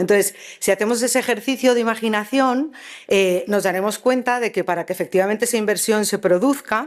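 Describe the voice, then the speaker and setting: Her voice is fairly high and shows ordinary pitch variation. The woman talks at a fairly quick pace. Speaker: conference speaker, academic. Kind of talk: conference talk. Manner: fast; halting, many fillers.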